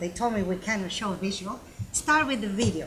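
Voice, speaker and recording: A woman with a non-native accent speaks at a medium pitch. Noticeable background noise runs underneath. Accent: foreign. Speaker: university professor. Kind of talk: panel discussion. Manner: halting.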